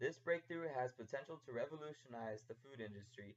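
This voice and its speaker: A man talks at a fairly quick pace in an ordinary speaking voice with ordinary pitch variation. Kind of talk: informational persuasive narration.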